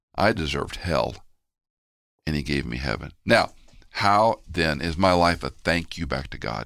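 With an American accent and vocal fry, a man with a very deep, low pitch talks at a fairly slow pace, using lively intonation and long, frequent pauses. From Houston, Texas. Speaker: pastor and Bible teacher. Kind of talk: interview conversation.

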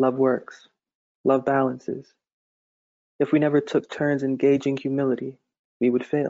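This is a man with an American accent. His pitch sits fairly high. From Massachusetts. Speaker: poet and devotional author. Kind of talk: casual interview with poetry reading aloud.

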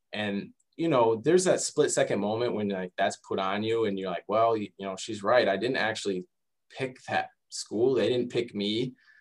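A man with an American accent speaks in a normal speaking voice at a medium pitch, with ordinary pitch variation and a moderate pace. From Michigan, US (Detroit area and Lansing). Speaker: sports dietitian. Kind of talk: interview.

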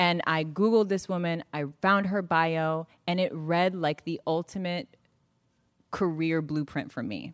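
An ordinary speaking voice from a woman, fairly low in pitch with ordinary pitch variation, at a fairly slow pace on a very clean recording with a silent background. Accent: American. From Northern California. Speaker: author. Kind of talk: onstage interview. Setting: stage with audience.

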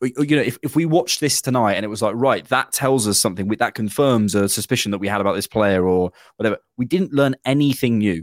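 At a fairly quick pace, a man talks with ordinary pitch variation on a very clean recording with a silent background, an unremarkable speaking voice. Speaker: podcast host, Arsenal fan. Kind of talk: casual chat. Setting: video podcast recording.

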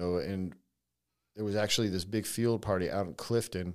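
Recorded very cleanly over a silent background, a man with a fairly low pitch talks at a fairly quick pace in a normal speaking voice. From California (Navy brat, moved around). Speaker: writer-director, former prisoner. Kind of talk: interview storytelling.

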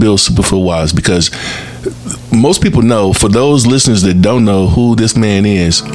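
Noticeable background noise sits behind a man talking at a fairly quick pace, his fairly low pitch showing ordinary variation. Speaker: podcast host. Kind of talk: moderated panel discussion. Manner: upbeat, enthusiastic.

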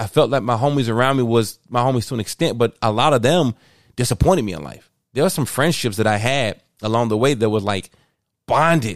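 An ordinary speaking voice from a man with an American accent, medium pitch, ordinary pitch variation and a fairly quick pace, on a very clean recording with a silent background. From Chicago, West Side (US Midwest). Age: 40s. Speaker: podcast host, ministry leader. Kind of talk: casual chat, personal testimony.

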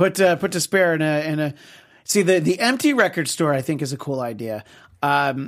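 A man with an ordinary speaking voice talks at a moderate pace, fairly high in pitch, with lively intonation. The recording is very clean, with a silent background. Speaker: TV show host. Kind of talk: casual chat about TV shows.

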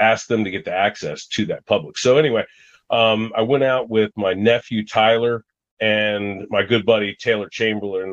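Using a plain, everyday voice, a man with an American accent talks at medium pitch and a moderate pace. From US Mid-Atlantic (Washington DC area). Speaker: outdoorsman, hunter and falconer. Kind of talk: casual interview chat.

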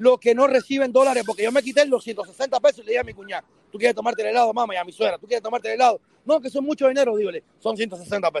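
At a very fast pace, a man speaks with an extremely high pitch and ordinary pitch variation, in a dry, close sound with no echo. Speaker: panelist on live stream. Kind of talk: casual chat. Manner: animated.

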